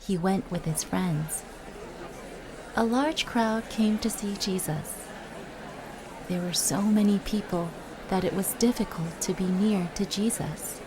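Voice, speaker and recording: This woman has a medium pitch and ordinary pitch variation, speaking at a fairly slow pace. Long, frequent pauses break her speech, with crowd noise behind her. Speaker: voice actress. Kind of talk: children's Bible story narration.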